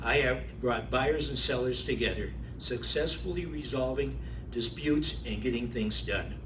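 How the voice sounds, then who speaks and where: A man talking at a moderate pace is heard with audible room echo and noticeable background noise. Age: 70s. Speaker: city council candidate, realtor. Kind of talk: candidate forum statement. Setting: public forum at a library.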